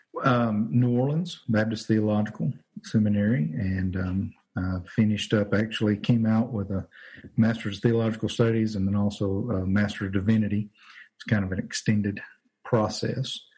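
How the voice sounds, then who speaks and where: A man speaks at a moderate pace in a fairly low pitch, his tone dark, mellow and somewhat breathy. His intonation stays fairly even. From Louisiana, US South. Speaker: pastor. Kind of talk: casual chat. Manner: halting, many fillers.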